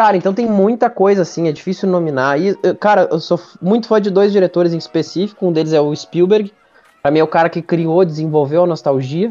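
A man's high-pitched voice with ordinary pitch variation at a fairly quick pace. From interior of Rio Grande do Sul, Brazil. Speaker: meme page founder and film commentator. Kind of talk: casual chat.

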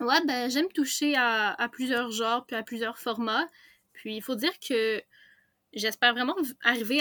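A woman with a high pitch and a Quebec accent speaks at a fairly slow pace with ordinary pitch variation. The sound is dry and close with no echo, in a very clean recording with a silent background. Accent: Québécois. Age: young. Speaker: novelist and graphic designer. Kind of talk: interview.

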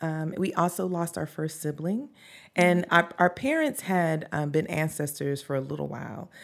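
In a very clean recording with a silent background, a woman with a Southern US accent speaks at a moderate pace in a fairly low pitch with ordinary pitch variation. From US South, North Carolina. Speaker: podcast creator and social justice advocate. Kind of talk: interview conversation. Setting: studio, in person.

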